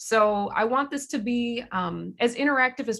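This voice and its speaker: An American accent comes through in a bright, sharp tone. The recording is very clean, with a silent background. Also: woman. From US Midwest, Chicago area and Minneapolis. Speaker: music educator and presenter. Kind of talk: workshop presentation. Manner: halting, many fillers.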